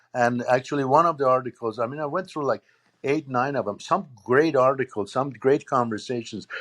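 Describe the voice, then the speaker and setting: A man speaks at a fairly quick pace and a medium pitch, in a plain, everyday voice. The background is quiet. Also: ordinary pitch variation. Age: 60s. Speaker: political commentator. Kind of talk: panel discussion.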